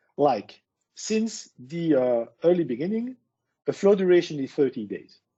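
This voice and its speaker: Speaking fairly slowly with a French accent, a man uses a high pitch that swings very widely. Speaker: tech speaker. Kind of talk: presentation.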